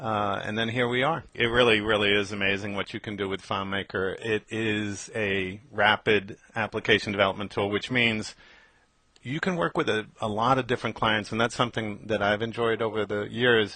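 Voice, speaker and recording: Here is a man with a normal speaking voice and an American accent. His pitch is fairly low and his intonation fairly even. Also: moderate pace. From New York. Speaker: FileMaker developer, podcast host. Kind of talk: casual podcast chat. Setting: Skype call.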